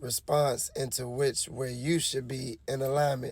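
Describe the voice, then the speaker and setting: Somewhat breathy, a man with a medium-pitched voice speaks at a fairly slow pace in a monotone, flat delivery. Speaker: online commentator. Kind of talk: casual monologue. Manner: conversational.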